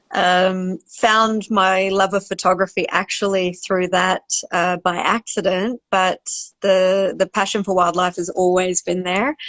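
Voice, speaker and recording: A woman at medium pitch, fairly slow pace and monotone, flat intonation against a quiet background. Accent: Australian. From Australia. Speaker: wildlife cinematographer and photographer. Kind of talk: interview Q&A. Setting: Instagram live video call.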